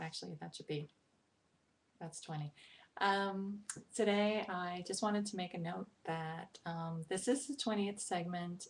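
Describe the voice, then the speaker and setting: A woman with an American accent speaks in a somewhat breathy, medium-pitched voice at a fairly slow pace, with ordinary pitch variation. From New York, Brooklyn. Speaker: poetry vlogger. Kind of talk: casual talk to camera, informal intro. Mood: friendly, slightly sheepish. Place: home room. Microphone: webcam.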